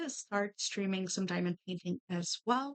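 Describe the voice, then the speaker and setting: Recorded with a dry, close sound and no echo, a woman speaks in a Quebec accent with ordinary pitch variation. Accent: Québécois French-accented English. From Quebec, Canada. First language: French. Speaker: streamer and artist. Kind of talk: casual chat while crafting.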